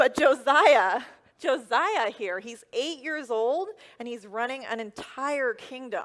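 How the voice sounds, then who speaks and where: Speaking very slowly with an American accent, a woman uses a high pitch, lively intonation and big swings in loudness. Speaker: first-time preacher delivering a sermon. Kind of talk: church sermon.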